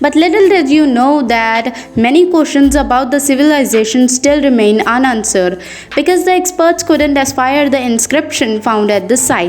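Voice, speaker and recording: A high-pitched woman with a non-native accent speaks at a moderate pace over noticeable background noise. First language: not English. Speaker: educational YouTuber. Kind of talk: history fact narration.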